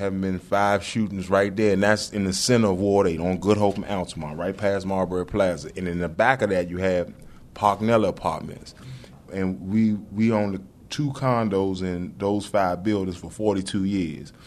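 A man is speaking. His pace is moderate and his intonation fairly even. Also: fairly low pitch for a man. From Washington, D.C. (Foggy Bottom). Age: 60s. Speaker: used car salesman. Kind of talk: interview. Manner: halting, repetitive.

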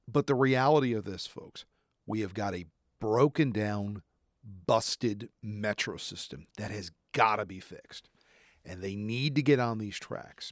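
With a New Jersey accent, the speaker goes at a fairly slow pace in a dry, close sound with no echo, on a very clean recording with a silent background. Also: man. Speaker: TV news reporter and anchor. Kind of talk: casual chat. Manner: energetic.

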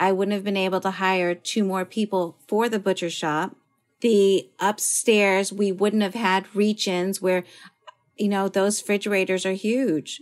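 An unremarkable speaking voice from a woman at medium pitch, fairly even intonation, very clean recording with a silent background. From Philippines-born, raised in US. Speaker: chef and restaurant owner. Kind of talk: interview.

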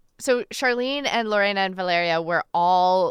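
In a very clean recording with a silent background, a woman of medium pitch speaks at a moderate pace with lively intonation in an unremarkable speaking voice. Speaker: radio host and reporter. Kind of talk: casual interview and reported feature.

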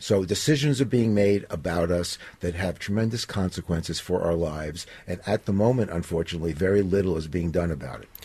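At a fairly quick pace, a man talks in a very deep, low pitch with a dark, mellow tone, somewhat breathy, and ordinary pitch variation. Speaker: digital privacy advocate. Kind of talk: radio interview.

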